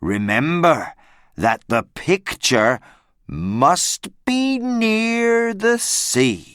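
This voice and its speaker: Someone speaks very slowly in a put-on character voice, the pitch swinging very widely. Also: man, high pitch for a man. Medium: read story. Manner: solemn, mysterious.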